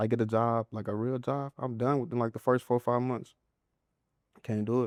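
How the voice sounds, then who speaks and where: A man with a Southern US accent talks at a fairly quick pace, medium in pitch and flat in a monotone. The sound is dry and close with no echo, and the background is quiet. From Mississippi, USA. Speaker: comedian and content creator. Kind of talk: interview answer.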